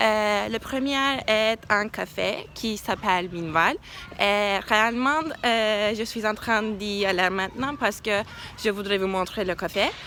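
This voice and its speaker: The voice has a bright, sharp tone, moves at a very slow pace, and shows ordinary pitch variation. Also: woman. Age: 20s. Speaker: university student. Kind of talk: casual vlog talk to camera. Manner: hesitant, many fillers.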